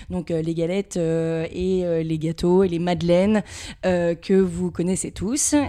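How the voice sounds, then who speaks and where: Dark, mellow female voice, fairly low in pitch, at a very slow pace with fairly even intonation. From Paris region, France (Levallois-Perret). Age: 20s. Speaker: sales manager. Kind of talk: interview.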